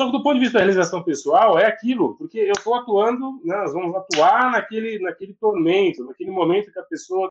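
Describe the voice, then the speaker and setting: Lively intonation at a fairly quick pace with hardly any pauses. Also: man, high pitch for a man. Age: 40s. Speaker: lawyer and law professor. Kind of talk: casual interview chat. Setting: live video stream. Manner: animated.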